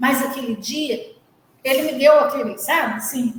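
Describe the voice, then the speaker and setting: With ordinary pitch variation, a woman talks at a high pitch. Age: 60s. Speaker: charity volunteer. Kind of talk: testimony.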